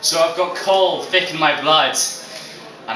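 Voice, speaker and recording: A man's fairly high-pitched voice at a moderate pace, with audible room echo and noticeable background noise. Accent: English. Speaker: student comedian. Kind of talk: stand-up. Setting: stage with audience. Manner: halting.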